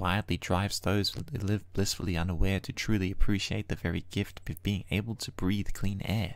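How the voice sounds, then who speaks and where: On a very clean recording with a silent background, a man speaks in a normal speaking voice at a fairly low pitch. His moderate pace has hardly any pauses and fairly even intonation. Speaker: poet. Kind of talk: spoken-word poetry. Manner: reflective, measured, lyrical cadence.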